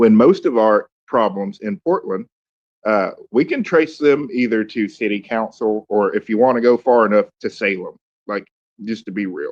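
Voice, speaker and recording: With a Southern accent, a man speaks at a moderate pace and medium pitch with ordinary pitch variation. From US South, Columbus, Georgia. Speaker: city council candidate. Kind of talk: casual chat. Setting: online audio room.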